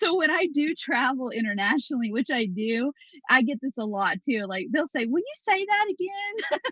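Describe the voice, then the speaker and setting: Very wide pitch swings in a Southern US accent. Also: woman, high pitch for a woman, moderate pace. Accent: obvious southern US. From US South, Tennessee. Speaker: wedding photographer. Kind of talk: podcast interview.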